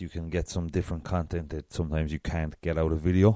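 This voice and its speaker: A dark, mellow tone with an Irish accent on a very clean recording with a silent background. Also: man. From Republic of Ireland, south. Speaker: podcast host. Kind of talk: solo podcast monologue. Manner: casual.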